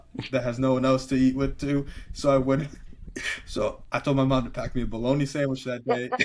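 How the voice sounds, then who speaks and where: A man speaking fairly quickly at a medium pitch. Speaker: podcast co-host. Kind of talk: casual chat. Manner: halting, many restarts.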